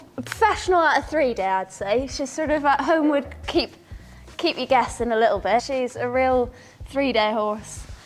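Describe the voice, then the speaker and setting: Music plays behind a woman speaking. Her voice is high-pitched, with lively intonation. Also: moderate pace. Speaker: event rider. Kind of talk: casual interview.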